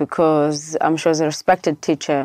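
A woman with a South African accent and a fairly low pitch, at a moderate pace, on a very clean recording with a silent background and a dry, close sound with no echo. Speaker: education nonprofit founder. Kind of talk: interview.

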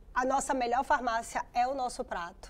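A woman talks at a moderate pace. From Brazil. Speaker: geriatrician. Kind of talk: TV interview. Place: studio. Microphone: lapel.

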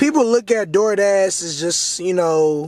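Very slowly, a man speaks in a dry sound with no echo while faint music plays in the background. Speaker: delivery driver vlogger. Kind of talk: casual vlog chat. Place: car. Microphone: phone near.

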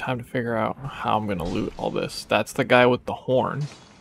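With music in the background, a man at medium pitch talks at a moderate pace with ordinary pitch variation. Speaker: video game streamer. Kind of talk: casual gaming stream chat. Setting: voice chat with friends while streaming.

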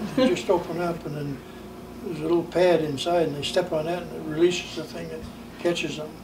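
A man with an American accent talks at a very fast pace in a high voice, his loudness swinging widely. Noticeable background noise can be heard. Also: fairly even intonation. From US Northeast, New Hampshire. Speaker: grandparent telling life stories; interviewee. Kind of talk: casual family interview. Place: home room.

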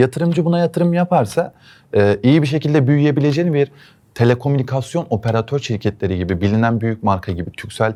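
In a very clean recording with a silent background, a man talks at a fairly quick pace with lively intonation. His medium-pitched voice has a dark, mellow tone. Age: 20s. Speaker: entrepreneur, network specialist. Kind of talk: investment pitch.

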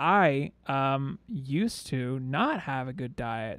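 A man's fairly high voice carries lively intonation. The sound is dry with no echo, over a quiet background. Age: 30s. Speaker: podcast co-host. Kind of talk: casual chat; casual podcast conversation. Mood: light, joking. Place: home room. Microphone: studio mic.

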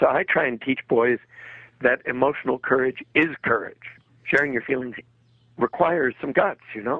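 Pausing long and often, a man talks at a medium pitch with ordinary pitch variation. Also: moderate pace. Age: 60s. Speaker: psychologist and author. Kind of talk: interview.

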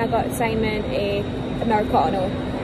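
A woman is speaking over loud background noise. The sound is dry, with no echo. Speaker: vlogger. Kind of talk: casual vlog chat. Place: station. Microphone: phone near.

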